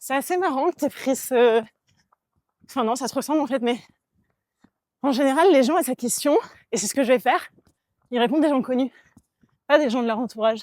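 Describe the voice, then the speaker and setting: Speaking at a fairly quick pace yet with long, frequent pauses, a woman with a high pitch and ordinary pitch variation comes through with a dry, close sound and no echo. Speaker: podcast co-host. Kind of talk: casual chat.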